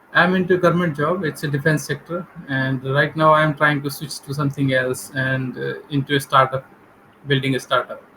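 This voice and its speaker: A man at a fairly high pitch with an Indian accent, moderate pace and fairly even intonation, over noticeable background noise. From India, Delhi. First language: Hindi. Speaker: English learner, government employee. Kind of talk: English practice conversation. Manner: hesitant.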